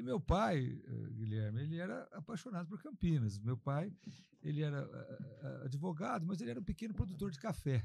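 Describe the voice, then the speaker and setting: This man's voice is fairly high-pitched, somewhat breathy and dark and mellow in tone. He moves at a moderate pace with very wide pitch swings. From interior of São Paulo state, Alta Mogiana near Franca. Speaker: mayor and politician, former doctor. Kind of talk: podcast interview.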